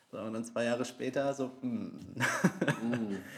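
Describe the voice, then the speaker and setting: The man talks with fairly even intonation. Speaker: band musician, podcast co-host. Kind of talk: casual chat.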